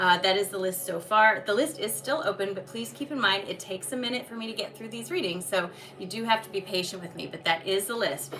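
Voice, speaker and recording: Over noticeable background noise, a woman with a medium pitch talks at a very fast pace with hardly any pauses, ordinary pitch variation, and big swings in loudness. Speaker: tarot and energy reader. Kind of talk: live stream readings announcements.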